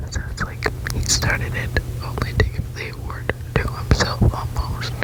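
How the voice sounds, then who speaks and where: Whispering at a moderate pace, the woman is heard with noticeable background noise. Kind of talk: reading random facts with casual comments. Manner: whispered, close-up.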